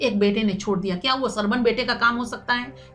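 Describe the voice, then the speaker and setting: Music plays in the background. A woman speaks with a high pitch. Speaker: news presenter. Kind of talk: news commentary.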